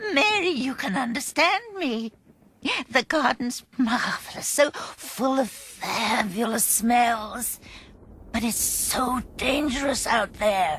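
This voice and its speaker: A cartoonish character voice, female-sounding and high-pitched for a woman, at a very slow pace. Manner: nervous.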